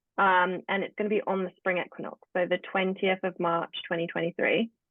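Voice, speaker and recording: In a British accent, a woman of medium pitch speaks at a fairly quick pace with fairly even intonation. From England. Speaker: spiritual practitioner, tarot reader. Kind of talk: podcast interview.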